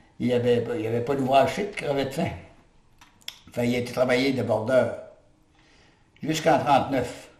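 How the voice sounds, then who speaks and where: With audible room echo around him, a man speaks at a medium pitch and moderate pace with ordinary pitch variation. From northwestern New Brunswick, Restigouche area, partly raised in Montreal. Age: 80s+. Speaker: retired lumberjack and log driver. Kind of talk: oral history interview. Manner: halting, with many filler words.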